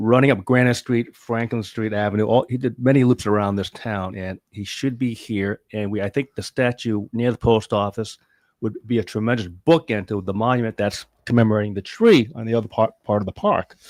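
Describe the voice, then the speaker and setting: This man has a normal speaking voice and an American accent, with a medium pitch and fairly even intonation. He talks at a fairly quick pace on a very clean recording with a silent background. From California. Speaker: guest discussing a memorial fund. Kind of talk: casual chat.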